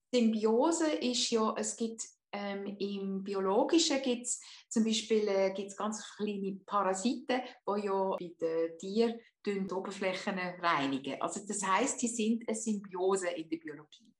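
A woman talks at a fairly slow pace with an ordinary speaking voice. Her intonation is lively and her pitch medium. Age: 50s. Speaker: hypnotherapist. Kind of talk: interview.

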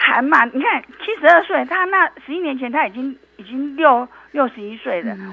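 A high-pitched woman's voice with very wide pitch swings and big swings in loudness, at a moderate pace, over noticeable background noise. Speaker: traditional Chinese medicine doctor. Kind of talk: interview. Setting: remote call. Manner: halting, repeats words.

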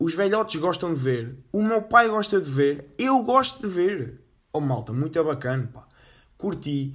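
A high-pitched man speaks at a fairly slow pace, his voice marked by very wide pitch swings and big swings in loudness. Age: 20s. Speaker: podcast host. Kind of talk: casual solo monologue. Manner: casual, slangy with fillers.

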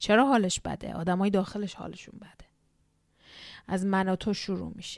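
A woman speaks in a warm, animated tone, her loudness swinging widely between long, frequent pauses. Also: medium pitch for a woman, moderate pace, very clean recording, silent background. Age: 30s. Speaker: podcast host, immigration psychology counselor. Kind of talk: solo podcast monologue.

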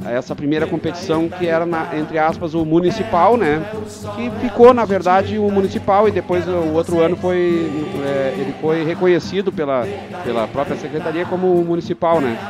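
Music plays in the background as a man talks at a moderate pace. His pitch is high, with ordinary variation. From Porto Alegre, southern Brazil. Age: 40s. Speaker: amateur football league organizer. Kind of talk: radio interview.

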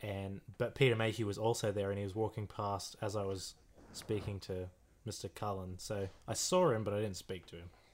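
On a very clean recording with a silent background, a man with an Australian accent speaks at a moderate pace, his fairly low pitch held in a monotone, flat intonation. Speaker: podcast co-host. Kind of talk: casual banter, movie commentary. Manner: irreverent, joking, swearing.

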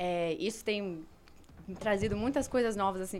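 A woman's medium-pitched voice comes through over background music. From Brazil, moved around; long stay in Argentina. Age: 20s. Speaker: theologian. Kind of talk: explanatory discussion.

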